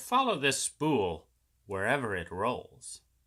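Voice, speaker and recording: Using a put-on character voice at medium pitch, a man speaks at a fairly slow pace on a very clean recording with a silent background. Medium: read story.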